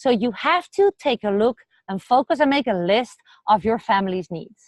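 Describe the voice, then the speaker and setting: A woman speaks with a Dutch accent at a moderate pace, her pitch fairly high and intonation lively. The sound is dry and close, with no echo. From Netherlands. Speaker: vlogger. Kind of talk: casual vlog talk to camera. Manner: hesitant with fillers.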